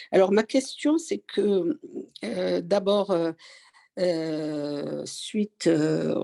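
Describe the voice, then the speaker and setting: Here a woman talks. Her sound is dry and close, without any echo. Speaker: seminar participant asking questions. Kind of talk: question in online seminar discussion. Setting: online teleseminar. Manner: hesitant, many fillers.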